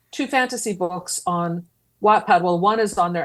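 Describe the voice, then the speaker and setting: A woman speaks at a fairly quick pace in a medium pitch, on a very clean recording with a silent background. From Philadelphia area, US. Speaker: podcast co-host, horror writer and editor. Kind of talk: casual chat.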